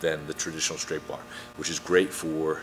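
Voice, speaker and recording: A man speaking with music in the background. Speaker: strength coach. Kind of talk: tutorial. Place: gym.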